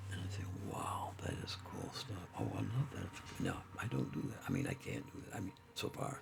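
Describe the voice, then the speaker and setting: A man whispers while noticeable background noise plays behind him. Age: 80s+. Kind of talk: casual monologue. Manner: halting, many fillers.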